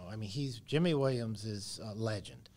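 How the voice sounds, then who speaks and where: A somewhat breathy male voice. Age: 70s. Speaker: horse trainer. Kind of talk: interview.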